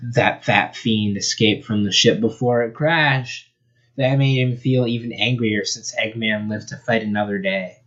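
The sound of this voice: Reading in an unforced voice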